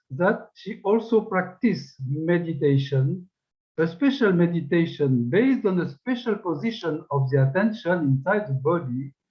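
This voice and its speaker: A man talks at a moderate pace with a high pitch. His pitch swings very widely. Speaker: researcher of megalithic tradition. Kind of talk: lecture. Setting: webinar. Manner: formal.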